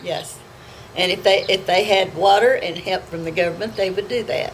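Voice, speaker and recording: A woman speaks with an American accent and fairly even intonation. Noticeable background noise runs underneath. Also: medium pitch for a woman, moderate pace. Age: 80s+. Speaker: farmer. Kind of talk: interview answer.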